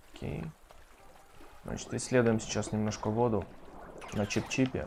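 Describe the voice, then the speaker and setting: Noticeable background noise sits under this voice. A man speaks with a fairly low pitch. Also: ordinary pitch variation, moderate pace. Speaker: gaming streamer. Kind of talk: let's play commentary. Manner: casual.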